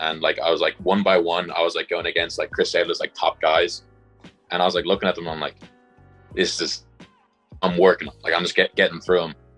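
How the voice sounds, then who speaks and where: With a Dublin accent, a man talks at a fairly quick pace but stops often for long pauses. Music plays in the background. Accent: Irish (Dublin). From Dublin, Ireland. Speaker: college football punter. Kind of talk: interview answer. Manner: casual, conversational.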